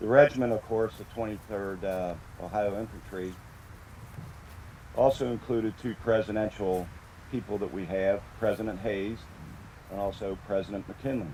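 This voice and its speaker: Pausing long and often, a man speaks at a fairly low pitch in a dark, mellow tone with fairly even intonation. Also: moderate pace. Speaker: veterans' organization leader. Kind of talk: ceremonial speech. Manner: halting, many fillers.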